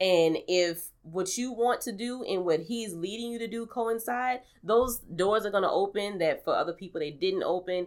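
A woman with a normal speaking voice and an American accent, medium pitch, ordinary pitch variation, a moderate pace with hardly any pauses, in a very clean recording over a silent background. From New Orleans, US South. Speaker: podcaster and radio personality. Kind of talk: casual conversational interview.

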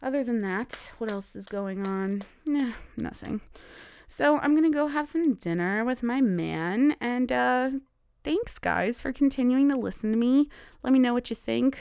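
The very clean recording has a silent background. On it, a woman speaks high-pitched and fairly slowly, with lively intonation. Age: 20s. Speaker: podcast host. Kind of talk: casual monologue. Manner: halting.

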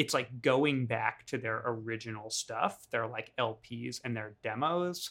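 A man speaks at a fairly slow pace with hardly any pauses, his pitch medium and its variation ordinary. His is an unremarkable speaking voice. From New York. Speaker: podcast co-host. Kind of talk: casual chat.

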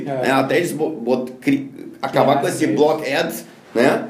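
A man talks with audible room echo as noticeable noise runs behind him. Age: 50s. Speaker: business consultant and speaker. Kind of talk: interview.

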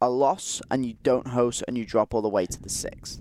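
A man speaks in an unremarkable speaking voice at medium pitch, with ordinary pitch variation. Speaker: college sports radio co-host. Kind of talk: casual chat. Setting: studio.

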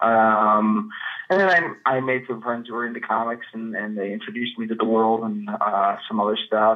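With an American accent, a man with an ordinary speaking voice talks at a fairly slow pace in a medium pitch with ordinary pitch variation. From Chicago suburbs, US Midwest. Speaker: comics writer. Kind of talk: interview.

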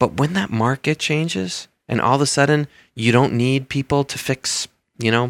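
An unremarkable speaking voice from a man, medium pitch and lively intonation, in a very clean recording with a silent background and a dry, close sound with no echo. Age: 40s. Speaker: university administrator. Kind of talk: interview.

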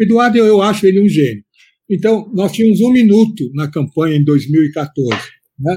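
Here a man talks at a moderate pace in a high pitch. His tone is dark and mellow, with lively intonation. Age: 70s. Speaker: veteran journalist. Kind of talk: interview.

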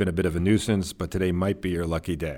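His pitch sits very deep and low. The man talks with an American accent. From New Jersey suburbs. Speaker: documentary filmmaker. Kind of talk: interview.

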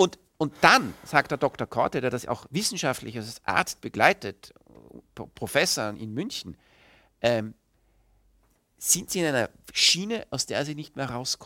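Speaking fairly slowly with long, frequent pauses, a man with a fairly high, bright, sharp voice makes very wide pitch swings and big swings in loudness, in a dry, close sound with no echo on a very clean recording with a silent background. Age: 40s. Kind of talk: interview.

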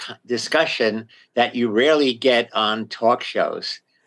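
In a very clean recording with a silent background, a man talks at medium pitch and a very slow pace with fairly even intonation. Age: 80s+. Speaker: retired psychology professor. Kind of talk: radio interview. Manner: halting.

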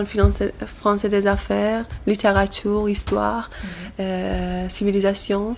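Over noticeable background noise, a woman speaks with an Iranian accent. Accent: Iranian (Persian) accent in French. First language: Persian (speaking French). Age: 20s. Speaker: asylum seeker. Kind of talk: interview. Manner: halting, hesitant.

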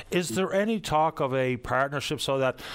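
With ordinary pitch variation, a man talks in a Newfoundland accent. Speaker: radio call-in show host. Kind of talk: call-in radio talk show. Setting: radio studio. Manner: fast.

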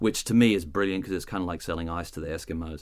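A man speaks in a very deep, low voice. The recording is very clean, with a silent background. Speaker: wine expert. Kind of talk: educational explainer. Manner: hesitant, repeats words.

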